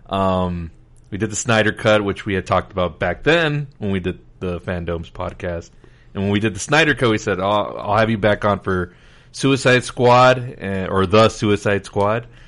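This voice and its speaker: Against a quiet background, a man with fairly low pitch and ordinary pitch variation speaks at a moderate pace in an ordinary speaking voice. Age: 30s. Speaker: podcast host. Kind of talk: casual chat.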